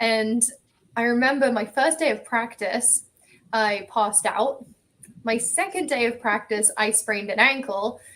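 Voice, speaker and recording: Speaking at a fairly slow pace with an English accent, a woman uses a fairly high pitch and ordinary pitch variation. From England. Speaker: athlete, ocean rower. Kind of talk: podcast interview.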